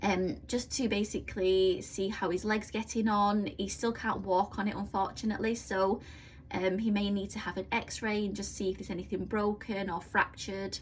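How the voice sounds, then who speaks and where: A woman with a British accent speaks in a somewhat breathy voice with monotone, flat intonation. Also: medium pitch for a woman. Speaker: budgeting vlogger. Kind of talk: casual vlog tutorial. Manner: fast; hesitant with many fillers.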